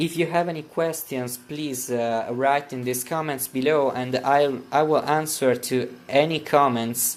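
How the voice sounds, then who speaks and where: Speaking at a fairly slow pace, a man with an Italian accent uses a medium pitch and fairly even intonation. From Italy. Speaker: printer repair youtuber. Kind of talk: tutorial. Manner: halting, with many fillers.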